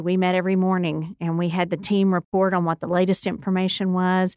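A woman talks in a normal speaking voice at medium pitch and a fairly quick pace. The sound is dry and close with no echo, against a quiet background. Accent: American. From West Texas (Odessa). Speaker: university president. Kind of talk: radio interview.

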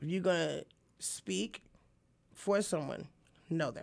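In a very clean recording with a silent background, a woman talks fairly slowly in a very deep, low voice with vocal fry. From upstate New York, then Arkansas from age 14. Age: 40s. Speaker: community activist and city council candidate. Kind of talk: casual interview. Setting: radio studio.

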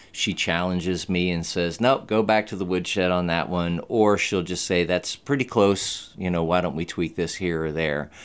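A man with an American accent and a very deep, low pitch talks at a moderate pace with hardly any pauses, on a very clean recording with a silent background. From Texas. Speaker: musician. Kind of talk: casual chat.

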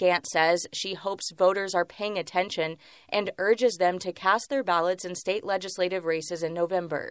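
Against a quiet background, a woman with a plain, everyday voice talks at a moderate pace and medium pitch, her intonation fairly even. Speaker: radio reporter. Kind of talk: news report.

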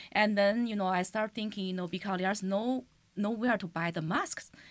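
A woman speaks with a Chinese accent. Her intonation stays fairly even. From China. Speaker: teacher and community leader. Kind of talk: interview. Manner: halting.

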